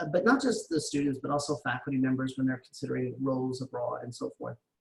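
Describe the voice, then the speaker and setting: This man has a fairly high pitch and a somewhat breathy voice. His pitch shows ordinary variation. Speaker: international education expert. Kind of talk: lecture. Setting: video call. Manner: fast.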